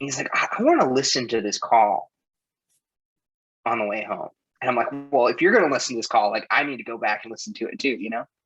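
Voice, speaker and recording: A man speaks at a very fast pace, broken by long, frequent pauses, with big swings in loudness. Music runs in the background. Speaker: life coach. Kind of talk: casual chat.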